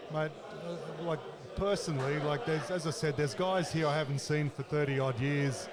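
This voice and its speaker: With an Australian accent, a man speaks at a fairly quick pace in a fairly high voice for a man, his intonation fairly even, with audible room echo and noticeable background noise. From Australia, Casino, northern New South Wales. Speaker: former rugby league player. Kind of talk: casual interview. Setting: reunion luncheon at a bar and grill. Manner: halting, many fillers.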